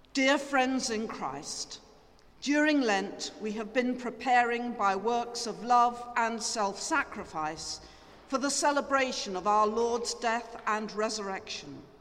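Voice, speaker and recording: Through noticeable background noise, a woman with a fairly high pitch speaks at a very slow pace. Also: ordinary pitch variation. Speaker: priest leading the liturgy. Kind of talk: Anglican liturgy, spoken prayers and blessings in a church service. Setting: church service, recorded for podcast. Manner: formal, measured, solemn, reverent.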